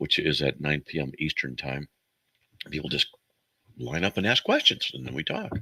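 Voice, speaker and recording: Heard in a dry, close sound with no echo, a man speaks at a moderate pace with ordinary pitch variation, a bright, sharp tone and some vocal fry. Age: 60s. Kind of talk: call-in radio show. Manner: rambling, casual.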